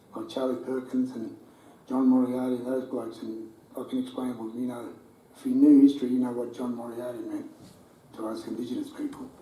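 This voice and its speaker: A man's fairly quick speech carries audible room echo and noticeable background noise. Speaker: retired footballer. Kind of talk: talk to audience, interview. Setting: room with audience.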